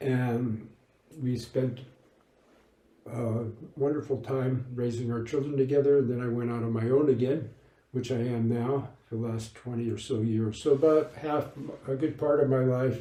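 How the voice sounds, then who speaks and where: The voice is dark and mellow, somewhat breathy, and flat in a monotone. Audible room echo comes through the recording. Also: man. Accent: American. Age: 70s. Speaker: lay Buddhist practitioner, former monk. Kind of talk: interview. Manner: halting.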